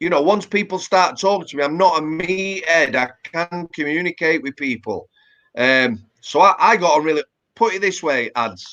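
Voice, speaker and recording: A man with a Yorkshire accent speaks at a moderate pace in a high pitch, his bright, sharp tone carried by lively intonation in a dry, close sound with no echo. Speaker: former prison officer and author. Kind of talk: interview. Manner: casual, conversational with fillers.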